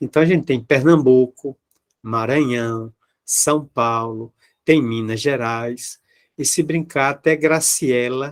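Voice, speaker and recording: Very slow speech from a man at medium pitch shows ordinary pitch variation. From Bahia, Brazil (Salvador). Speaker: spiritist lecturer. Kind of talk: public lecture. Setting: video call.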